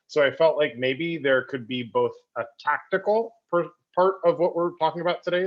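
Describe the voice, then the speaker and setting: A man talks in a normal speaking voice. His intonation is lively. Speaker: cooperative entrepreneur, guest speaker. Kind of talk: online presentation. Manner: casual.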